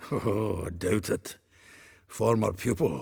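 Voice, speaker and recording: Using a put-on character voice, a man talks in a raspy, fairly low pitch at a fairly slow pace. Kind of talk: video game voice acting. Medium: video game. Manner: chuckling, conversational.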